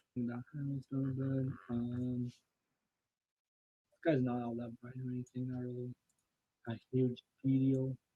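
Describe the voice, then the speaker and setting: Speaking at a fairly slow pace, a man pauses long and often, his loudness swinging widely. His voice is somewhat breathy and medium in pitch. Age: 20s. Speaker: photo editing streamer. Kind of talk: live stream tutorial. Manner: casual, animated.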